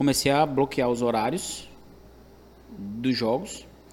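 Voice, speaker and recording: A man's voice at a medium pitch. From Calcaia, Ceará, Brazil. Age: 30s. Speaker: professional sports bettor, former barber.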